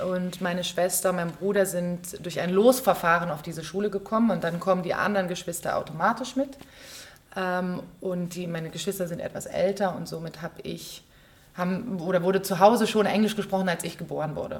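Somewhat breathy, a woman talks at a fairly quick pace with fairly even intonation. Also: medium pitch for a woman. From Berlin, Germany. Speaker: stage actress and musical performer. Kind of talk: casual interview chat. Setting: theater.

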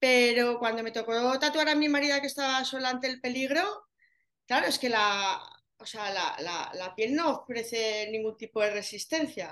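A woman's high, bright, sharp voice with lively intonation at a moderate pace. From Spain, Zaragoza (Aragon). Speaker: tattoo artist specialising in areola reconstruction. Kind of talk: casual interview.

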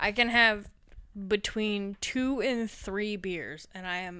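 A very slow, bright, sharp voice with an Upper Midwest accent, on a very clean recording with a silent background. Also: woman. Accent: Upper Midwest American. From Wisconsin, US Midwest. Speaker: podcast host. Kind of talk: casual chat.

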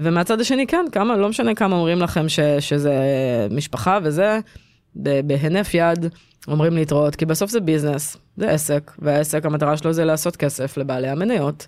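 A woman with a very deep, low voice talks at a moderate pace with lively intonation and very even loudness, on a very clean recording with a silent background. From Israel, Petah Tikva. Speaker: tech executive. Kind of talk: interview.

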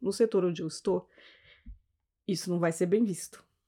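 Recorded very cleanly against a silent background, a woman talks in a fairly low voice with a dark, mellow tone and ordinary pitch variation. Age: 40s. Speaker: civil servant and lawyer. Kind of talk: casual chat.

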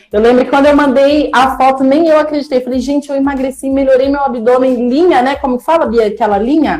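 Over noticeable background noise, a woman with a high voice speaks at a fairly quick pace with ordinary pitch variation and hardly any pauses. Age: 30s. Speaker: educational psychologist sharing weight-loss story. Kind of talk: casual chat. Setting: live stream. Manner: animated.

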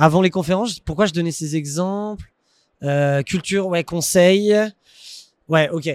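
Recorded very cleanly against a silent background, a man talks at a high pitch with ordinary pitch variation. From Paris region, France. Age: 30s. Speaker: entrepreneur. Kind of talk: casual interview.

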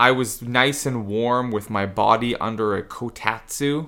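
On a very clean recording with a silent background, a man speaks very slowly with fairly even intonation and a bright, sharp tone. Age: 40s. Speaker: jujitsu instructor, former English teacher. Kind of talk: casual chat. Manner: high energy.

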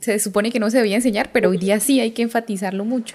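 A woman speaks at a very fast pace in a fairly high pitch over noticeable background noise. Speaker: podcast host, mother. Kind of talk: interview.

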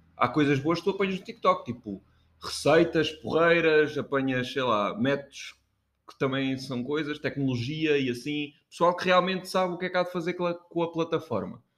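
A man's normal speaking voice, fairly high-pitched, at a moderate pace with ordinary pitch variation. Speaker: podcast co-host. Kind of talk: casual chat. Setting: kitchen.

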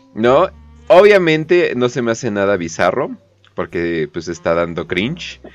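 Animated in tone, a man speaks with a Mexican accent. He goes fairly slowly, with very wide pitch swings. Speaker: streamer and podcast host. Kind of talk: casual chat.

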